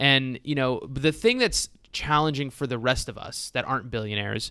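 Fairly high-pitched, a man talks in an animated tone that is bright and sharp, with lively intonation. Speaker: podcast host. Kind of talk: casual chat. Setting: headphones, remote recording. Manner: joking, animated.

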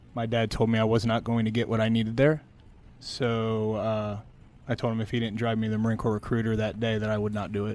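Recorded very cleanly against a silent background, a man with an American accent speaks at a very fast pace and medium pitch in a monotone, flat intonation. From Glen Burnie, Maryland. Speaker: tech company CEO. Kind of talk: interview.

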